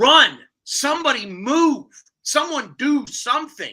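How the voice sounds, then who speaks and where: Someone shouts in a put-on character voice at a fairly slow pace. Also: woman, high pitch for a woman. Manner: shouting.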